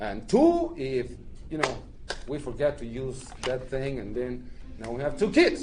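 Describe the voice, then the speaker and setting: Amid noticeable background noise and audible room echo, a man in a Spanish accent speaks at a fairly slow pace with big swings in loudness. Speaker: immigrant rights organizer, panelist. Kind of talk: panel talk to an audience. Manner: halting, many fillers.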